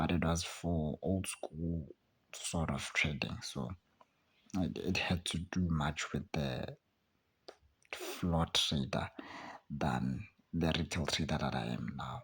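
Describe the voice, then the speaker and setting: Speaking very slowly with long, frequent pauses, a man with a very deep, low pitch shows vocal fry and ordinary pitch variation. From South Africa, Soweto, Johannesburg. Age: 20s. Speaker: student and aspiring trader, channel owner. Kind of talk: casual vlog monologue.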